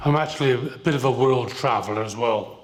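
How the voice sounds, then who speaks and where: Speaking with a British accent, a man talks at a medium pitch and a moderate pace. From Britain. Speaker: political candidate. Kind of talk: candidate forum opening statement.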